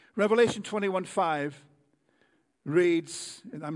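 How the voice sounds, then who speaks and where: A man is talking. His pitch shows ordinary variation. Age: 60s. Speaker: guest preacher. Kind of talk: sermon. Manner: halting, repeats words.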